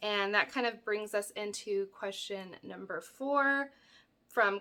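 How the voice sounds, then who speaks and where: A woman with a bright, sharp tone speaks fairly high and fairly slowly, with ordinary pitch variation. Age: 30s. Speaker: crafting YouTuber. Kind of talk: casual Q&A vlog. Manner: hesitant, many fillers.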